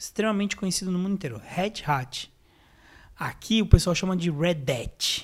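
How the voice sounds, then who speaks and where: This man has a high pitch and ordinary pitch variation, at a moderate pace. The recording is very clean, with a silent background. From Greater São Paulo, Brazil. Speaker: IT technician. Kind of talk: casual chat.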